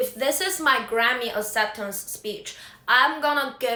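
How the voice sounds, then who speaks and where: A high-pitched woman in a Chinese accent, at a fairly slow pace with ordinary pitch variation. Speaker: singer-songwriter. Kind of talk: casual vlog monologue.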